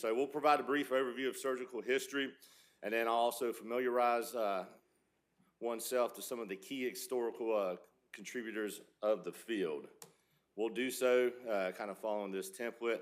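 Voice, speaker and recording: Fairly even intonation and a fairly quick pace shape this man's speech. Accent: Southern US. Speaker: surgical resident. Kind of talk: lecture. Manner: loud.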